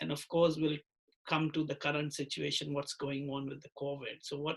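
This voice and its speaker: The voice is somewhat breathy, with a monotone, flat intonation at a moderate pace. Its loudness shifts in big swings. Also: man, fairly high pitch for a man. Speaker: licensed immigration advisor. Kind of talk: interview questions.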